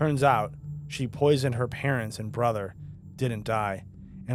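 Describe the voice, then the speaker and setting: A man speaks at a fairly slow pace with medium pitch and ordinary pitch variation while music plays in the background. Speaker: horror story narrator; voiceover artist. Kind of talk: scary story narration.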